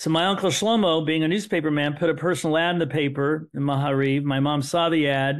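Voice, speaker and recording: Speaking with a Midwestern American accent, a man talks at a very fast pace with hardly any pauses. His fairly high voice holds a very even loudness. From US Midwest, Terre Haute, Indiana. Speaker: son of Holocaust survivors, author. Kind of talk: podcast interview, personal storytelling. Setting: podcast.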